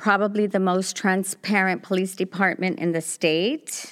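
A very clean recording and a silent background, with ordinary pitch variation. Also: woman. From South Los Angeles. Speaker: police commissioner and community nonprofit director. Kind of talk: interview. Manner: halting.

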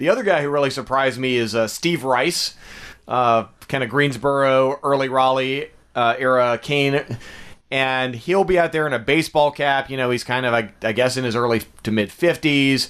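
An unremarkable speaking voice from a man, medium in pitch, with ordinary pitch variation, a moderate pace and a quiet background. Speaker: arena announcer and comedian. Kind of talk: casual chat.

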